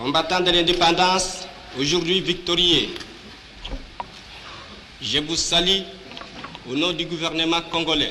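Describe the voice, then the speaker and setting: A man speaks at a very slow pace with a high pitch and flat, monotone intonation. Long, frequent pauses break up his speech over noticeable background noise. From DR Congo. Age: young. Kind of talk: historic speech reading.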